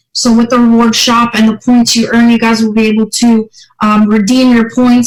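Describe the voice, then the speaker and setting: At a moderate pace, a woman speaks in a somewhat breathy, fairly high voice. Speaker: company tech presenter. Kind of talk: tutorial.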